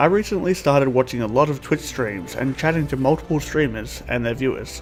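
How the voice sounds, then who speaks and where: A man speaks fairly quickly, his pitch varying in an ordinary way, while music plays in the background. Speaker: gaming YouTuber. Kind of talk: game tutorial narration.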